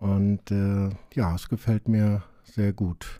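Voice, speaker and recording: In a dark, mellow tone, a man talks at a very slow pace with a fairly low pitch. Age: 50s. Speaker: self-help group member. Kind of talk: interview.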